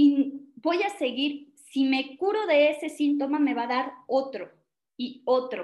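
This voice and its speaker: Lively intonation marks this fairly slow delivery in a Mexican accent. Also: woman. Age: 30s. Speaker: natural medicine speaker. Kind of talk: talk. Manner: casual, conversational.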